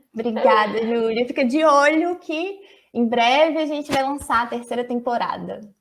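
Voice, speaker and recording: A woman at a high pitch, with ordinary pitch variation and a moderate pace. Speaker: biology student and science communicator. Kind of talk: online talk with Q&A. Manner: animated.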